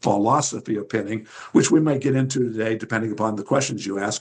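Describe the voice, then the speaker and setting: The speaker is a man with a somewhat breathy voice. He talks at a fairly quick pace. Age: 70s. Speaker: retired champion wrestler and wrestling instructor. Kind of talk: interview. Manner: rambling, many fillers.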